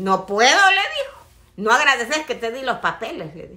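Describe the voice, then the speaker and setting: Her fairly high voice makes very wide pitch swings as the woman keeps a moderate pace. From El Salvador. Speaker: social media personality; family vlogger telling a story. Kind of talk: casual chat. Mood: animated, indignant storytelling. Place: home room. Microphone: phone near.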